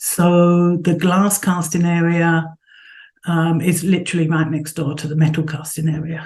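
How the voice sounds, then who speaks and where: With a London accent, a woman speaks at a moderate pace in a somewhat breathy voice, with fairly low pitch and monotone, flat intonation, amid audible room echo. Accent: southern English, London. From England, Southeast London. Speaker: sculptor and art professor. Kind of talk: interview.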